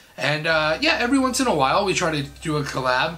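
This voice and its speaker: A man speaks at a fairly quick pace. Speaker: YouTube creator. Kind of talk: casual vlog chat, Q&A answers. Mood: relaxed, friendly. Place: home room.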